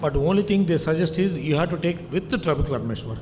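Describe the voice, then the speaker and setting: A man talks at a very fast pace with a fairly high pitch and fairly even intonation, with noticeable background noise and audible room echo. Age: 60s. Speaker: eye surgeon. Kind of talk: conference lecture.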